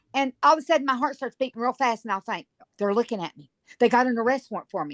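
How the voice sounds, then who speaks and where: A woman's high voice with a Virginia accent, very fast and lively in intonation, with big swings in loudness and a dry, close sound with no echo. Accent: Southern US (Virginia). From Virginia, US South. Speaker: guest formerly incarcerated, on sex offender registry. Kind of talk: casual chat; testimony.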